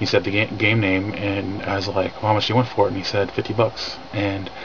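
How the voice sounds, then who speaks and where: A man's monotone, flat delivery over noticeable background noise. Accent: American. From California. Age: 30s. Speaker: retro gaming vlogger. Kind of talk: casual vlog. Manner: fast; halting, many fillers.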